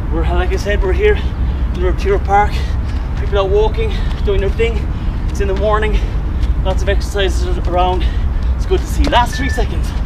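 Music plays in the background while a man speaks at a fairly quick pace. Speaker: fitness instructor. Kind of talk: workout tutorial coaching. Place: open country.

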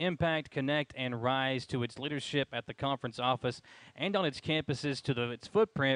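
A man talks at a moderate pace with ordinary pitch variation. The sound is dry with no echo, and the background is quiet. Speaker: sports show co-host. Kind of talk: commentary. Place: hall. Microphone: headset.

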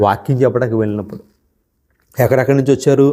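His tone is dark and mellow. This man's pitch sits in the medium range. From Andhra Pradesh, Mandapeta (East Godavari). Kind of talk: sermon. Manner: animated.

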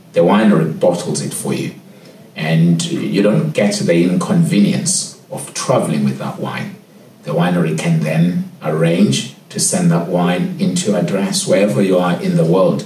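Light background noise and audible room echo around a man speaking at a moderate pace. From Cape Town, South Africa. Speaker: head sommelier. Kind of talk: interview answer. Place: office.

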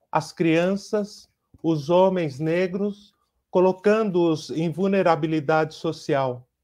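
Against a quiet background, a man with a high pitch talks at a very slow pace with fairly even intonation. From Brazil. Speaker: artist and teacher. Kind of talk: online conference presentation. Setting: video call. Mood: warm, grateful. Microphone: earbuds.

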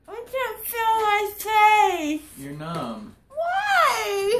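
Speech comes at a very slow pace amid noticeable background noise. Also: woman. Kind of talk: groggy, confused chat. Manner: slurred, numb-mouthed, groggy post-anesthesia speech. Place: home room. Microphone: phone near.

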